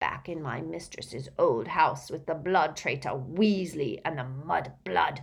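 In a put-on character voice, the speaker sounds raspy and croaky at a middle pitch, moving at a fairly slow pace with hardly any pauses. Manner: muttering, bowing and sour.

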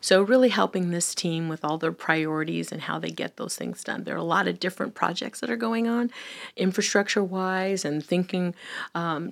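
A woman with an American accent talks in a normal speaking voice at a fairly low pitch. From US, Filipino heritage. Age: 50s. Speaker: government senior advisor. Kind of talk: interview. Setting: studio.

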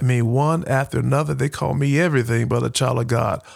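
On a very clean recording with a silent background, a man with a Southern US accent speaks at a medium pitch with ordinary pitch variation. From Alabama, Huntsville. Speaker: military veteran and education nonprofit founder. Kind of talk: podcast interview.

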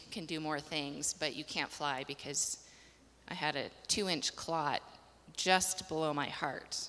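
A woman with an American accent speaks in a very deep, low pitch with fairly even intonation. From Colorado. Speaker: missionary. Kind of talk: interview.

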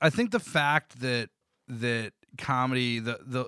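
A plain, everyday voice with fairly even intonation, on a very clean recording with a silent background and a dry, close sound with no echo. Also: man. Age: 30s. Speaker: podcast host. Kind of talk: casual chat. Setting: home basement.

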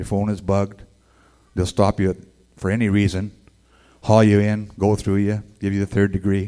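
A man's fairly low-pitched voice with a dark, mellow tone, monotone, flat intonation, a moderate pace and a western Canadian accent. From Edmonton, Alberta, Canada. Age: 60s. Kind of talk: testimony. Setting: stage with audience.

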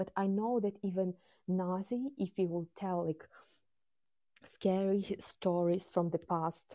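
A woman's medium-pitched, dark and mellow voice with a Ukrainian accent, fairly even intonation and a very slow pace. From Ukraine. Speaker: war witness. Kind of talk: interview. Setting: remote call. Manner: halting.

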